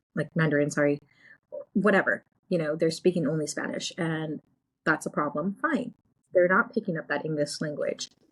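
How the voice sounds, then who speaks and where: A woman with an American accent speaks at a moderate pace in a fairly low, somewhat breathy voice, with ordinary pitch variation and long, frequent pauses. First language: Gujarati. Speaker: podcast co-host and real estate agent. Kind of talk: casual chat.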